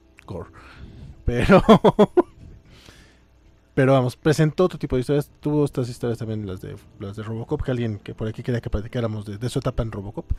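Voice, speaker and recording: Over music in the background, the speaker moves at a fairly quick pace broken by long, frequent pauses. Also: man, big swings in loudness. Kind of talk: podcast discussion of comics, casual talk. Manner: casual, chatty.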